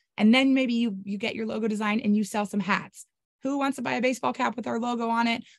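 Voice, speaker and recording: A woman speaks in a fairly high, somewhat breathy voice with ordinary pitch variation over a quiet background. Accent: American. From California. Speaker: rancher and social media marketing presenter. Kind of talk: webinar presentation. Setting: video call. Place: home room. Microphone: webcam.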